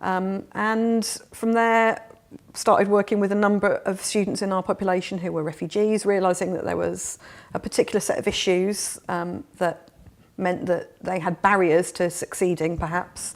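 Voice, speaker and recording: In a southern English accent, a woman speaks at a moderate pace with a medium pitch and fairly even intonation. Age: 40s. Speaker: refugee charity worker, former teacher. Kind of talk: interview.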